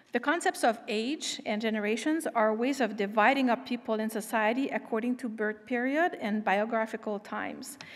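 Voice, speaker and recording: Delivered at a moderate pace with hardly any pauses, this voice carries a French accent over a quiet background. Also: woman, ordinary pitch variation. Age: 50s. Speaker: invited expert speaker. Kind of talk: lecture. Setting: stage with audience. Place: stage. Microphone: podium.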